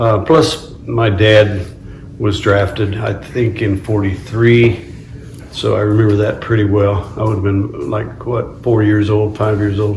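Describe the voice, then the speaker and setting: A man's fairly low-pitched voice, fairly slow in pace and fairly even in intonation, with noticeable background noise and audible room echo. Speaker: interviewee recalling wartime childhood. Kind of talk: oral history interview. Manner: halting.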